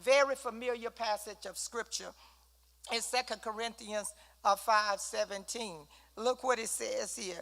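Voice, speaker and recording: This woman talks at a fairly slow pace in a fairly high voice. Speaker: Bible study teacher. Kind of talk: Bible study teaching. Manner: animated.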